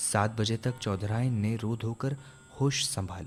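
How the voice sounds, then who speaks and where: With music in the background, a man speaks at a fairly low pitch using fairly even intonation. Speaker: narrator. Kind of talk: radio drama narration.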